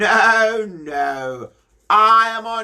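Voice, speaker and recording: A man performs a put-on character voice with very wide swings in pitch. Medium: read story.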